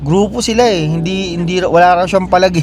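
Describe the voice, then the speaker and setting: A man with a high voice talks at a fairly quick clip, his pitch moving in an ordinary way. Noticeable background noise sits behind him. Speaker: vlogger, Filipino immigrant butcher. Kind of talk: casual vlog monologue. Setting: in a car.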